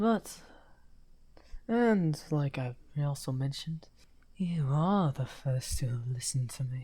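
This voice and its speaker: A put-on character voice at a low-to-middle pitch, fairly slow, with long, frequent pauses. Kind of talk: audio roleplay. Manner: soft-spoken.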